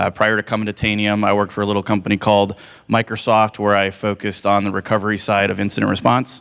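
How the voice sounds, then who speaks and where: A man at a very fast pace, monotone and flat in intonation. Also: fairly low pitch for a man. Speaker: security director, conference speaker. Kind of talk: conference talk. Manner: loud.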